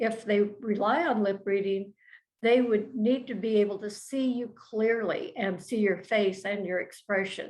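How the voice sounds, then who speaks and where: This woman's fairly high voice moves at a fairly slow pace with ordinary pitch variation. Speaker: design educator and nonprofit founder. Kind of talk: educational talk.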